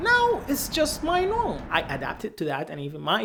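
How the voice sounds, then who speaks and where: A man talks at a moderate pace in a Sudanese accent. There is noticeable background noise. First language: Arabic (Sudanese dialect). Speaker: vlogger. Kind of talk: vlog monologue. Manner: occasionally halting, non-native fluency.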